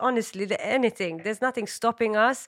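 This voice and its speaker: A woman with a fairly high pitch uses a normal speaking voice and ordinary pitch variation. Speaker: radio host and producer. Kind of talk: casual chat.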